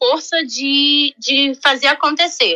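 A woman's raised, projected voice with a bright, sharp tone, very slow pace and fairly even intonation, in a dry, close sound with no echo. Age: 30s. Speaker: hotel guest relations worker. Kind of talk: interview.

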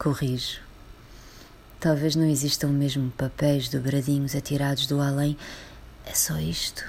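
With long, frequent pauses, a woman speaks at a fairly slow pace in a very deep, low, somewhat breathy voice with monotone, flat intonation. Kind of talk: poem performed, a reflective, literary reading aloud. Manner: slow, contemplative, intimate delivery with weighty pauses and repeated lines.

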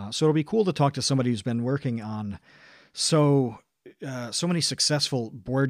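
The voice has ordinary pitch variation, and the sound is dry and close with no echo. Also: man, very clean recording, silent background. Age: 30s. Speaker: podcast host. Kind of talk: casual chat.

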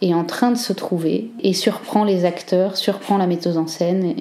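Fairly even intonation and a moderate pace come through noticeable background noise. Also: woman. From northern France, Cambrai. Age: 30s. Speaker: theatre director and actress. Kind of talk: personal testimony. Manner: hesitant, with fillers.

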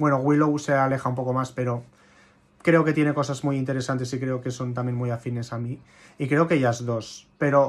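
A man with an unremarkable speaking voice talks at a medium pitch and moderate pace, keeping his intonation fairly even. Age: 20s. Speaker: drag queen. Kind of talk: casual chat.

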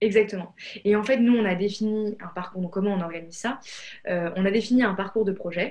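Fairly even in intonation, this woman's medium-pitched voice moves fairly quickly. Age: 20s. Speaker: founder of a coding school. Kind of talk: interview. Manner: hesitant, many fillers.

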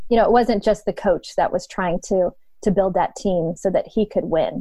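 A woman speaks at a medium pitch with an American accent and ordinary pitch variation, in an ordinary speaking voice. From Ohio, northeastern US. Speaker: leadership coach and former runner. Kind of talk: casual interview.

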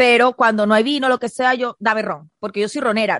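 Spoken at a very fast pace in a Venezuelan accent, the voice comes through dry and close with no echo. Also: woman. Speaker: podcast co-host. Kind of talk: casual chat.

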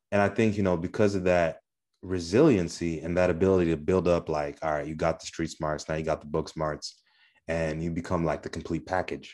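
With an American accent, a man with a very deep, low pitch talks at a fairly quick pace in fairly even intonation. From Southwest Michigan. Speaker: podcast co-host. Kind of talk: casual podcast conversation.

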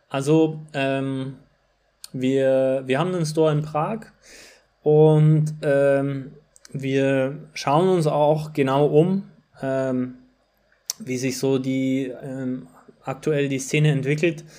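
A man speaks very slowly with long, frequent pauses, in a dark, mellow tone at a fairly high pitch. His intonation stays fairly even, and audible room echo surrounds him. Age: 20s. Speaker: running shop marketer and former competitive runner. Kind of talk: casual interview. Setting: remote call.

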